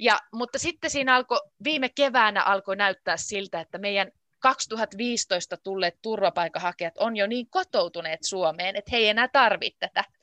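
Over a quiet background, a woman speaks at a moderate pace with a fairly high pitch and a bright, sharp tone, the sound dry and close with no echo. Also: lively intonation. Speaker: Finnish language teacher. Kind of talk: casual interview. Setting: video call. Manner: clear, simplified speech.

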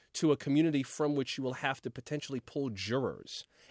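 A man with an American accent and an ordinary speaking voice talks at a fairly quick pace and medium pitch, in a dry, close sound with no echo over a quiet background. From South Florida. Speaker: radio newscaster. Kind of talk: casual chat.

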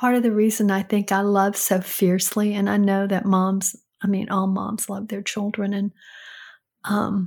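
A somewhat breathy woman on a very clean recording with a silent background. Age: 60s. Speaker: host's mother giving advice. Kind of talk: casual chat.

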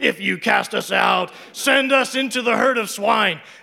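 Over light background noise, a man does a put-on character voice at an extremely high pitch and a moderate pace. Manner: pleading, supplicating.

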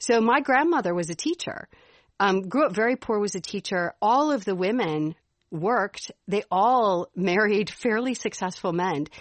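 With an American accent, a woman speaks at a moderate pace in a medium pitch, her intonation lively. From Chicago. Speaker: podcast co-host. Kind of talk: casual chat.

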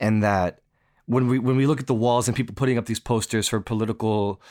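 The recording is very clean with a silent background as a man with a plain, everyday voice and medium pitch speaks at a fairly quick pace. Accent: American. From US East Coast, near New York City. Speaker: staff writer. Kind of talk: conversational interview.

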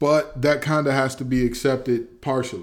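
A man at a medium pitch and a moderate pace. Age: 20s. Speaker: sports podcast host. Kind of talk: solo sports analysis podcast. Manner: halting, many repetitions and fillers.

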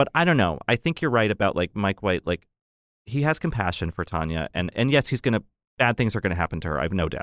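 In a very clean recording with a silent background, a man talks at a very fast pace with very wide pitch swings. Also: fairly low pitch for a man. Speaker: podcast host. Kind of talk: casual chat.

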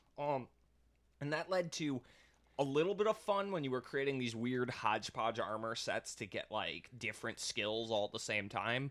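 Lively intonation marks this man's speech at medium pitch and moderate pace. He has a plain, everyday voice. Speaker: podcast co-host. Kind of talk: casual banter while gaming.

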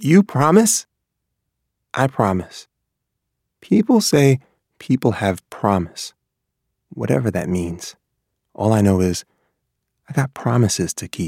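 A man with an American accent swings his pitch very widely and leaves long, frequent pauses, captured with a dry, close sound and no echo. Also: medium pitch for a man, fairly slow pace. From New York. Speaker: teacher and children's author. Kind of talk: prepared monologue.

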